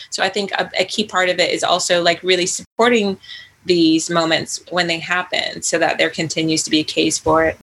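Using a plain, everyday voice, a woman talks at a fairly quick pace with a fairly low pitch and fairly even intonation. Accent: American. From US, Virginia. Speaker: writer and author. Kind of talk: interview.

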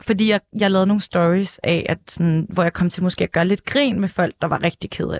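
A woman's normal speaking voice with fairly even intonation and hardly any pauses, in a dry, close sound with no echo. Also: medium pitch for a woman, fairly quick pace. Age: 20s. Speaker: former journalist, press officer. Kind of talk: casual chat. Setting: studio.

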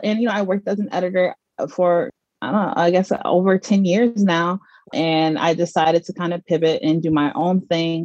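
Using a plain, everyday voice, a woman with an American accent speaks at a fairly low pitch and moderate pace, recorded with a dry, close sound and no echo. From US South, Mississippi and Georgia. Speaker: cannabis lifestyle entrepreneur, former journalist. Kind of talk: podcast interview.

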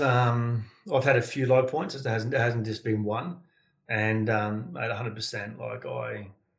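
Somewhat breathy, a man with an Australian accent speaks at a medium pitch and a fairly slow pace. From Sydney, Australia. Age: 40s. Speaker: building consultant and men's mentor. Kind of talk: interview.

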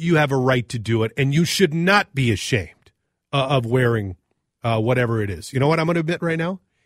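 A man with a medium-pitched, normal speaking voice talks at a fairly quick pace with lively intonation, the sound dry and close with no echo. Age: 40s. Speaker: radio talk show co-host. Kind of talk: casual call-in talk radio chat. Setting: radio studio.

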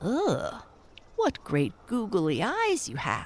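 This put-on character voice sits at a fairly high pitch. It moves at a very slow pace.

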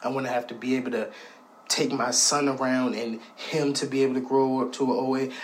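A man at medium pitch, monotone and flat, at a fairly quick pace amid noticeable background noise. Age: 20s. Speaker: contributor sending recorded message. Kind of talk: recorded personal message. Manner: impassioned.

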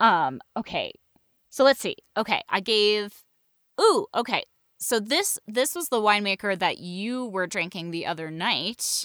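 An unremarkable speaking voice with an American accent and lively intonation, at a fairly slow pace, in a dry, close sound with no echo. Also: woman, fairly high pitch for a woman, very clean recording, silent background. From New England, US (western Massachusetts). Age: 30s. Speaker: podcast host and voice actor. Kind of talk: casual chat.

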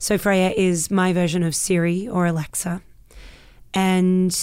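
A woman with an Australian accent speaks at a very slow pace and a medium pitch, her tone dark and mellow. The recording is very clean, with a silent background. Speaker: actress and voice performer. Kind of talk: casual interview chat. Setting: studio.

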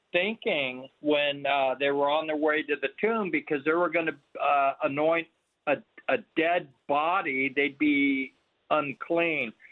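A man with an ordinary speaking voice talks at a fairly slow pace and fairly high pitch. His loudness stays very even. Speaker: caller. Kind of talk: phone-in question. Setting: phone call.

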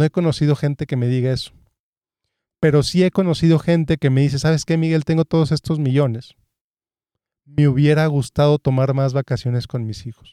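A man's fairly high-pitched voice with a dark, mellow tone and fairly even intonation, long, frequent pauses, a dry, close sound with no echo and a very clean recording with a silent background. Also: fairly quick pace. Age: 30s. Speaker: financial advisor and podcast host. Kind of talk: solo podcast monologue, informal advice.

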